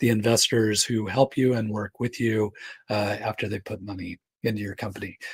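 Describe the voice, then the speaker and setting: In a dry, close sound with no echo, a man speaks at a fairly low pitch, somewhat breathy. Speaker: startup accelerator cofounder answering questions. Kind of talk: Q&A session. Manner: casual, with fillers.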